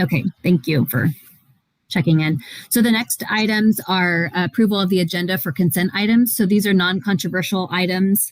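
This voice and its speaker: A woman at a medium pitch, somewhat breathy, with ordinary pitch variation and a moderate pace. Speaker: school board president chairing meeting. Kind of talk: board meeting. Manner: mumbling.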